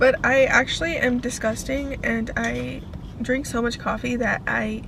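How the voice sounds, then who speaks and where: A woman is heard over noticeable background noise, with audible echo from the room. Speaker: vlogger and college student. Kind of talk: casual vlog monologue.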